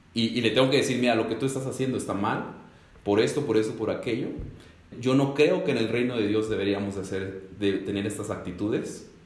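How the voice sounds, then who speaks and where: With audible room echo, a man talks at a fairly quick pace in a medium pitch, with ordinary pitch variation. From Mexico, Ecatepec near Mexico City. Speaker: executive pastor. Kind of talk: casual panel conversation.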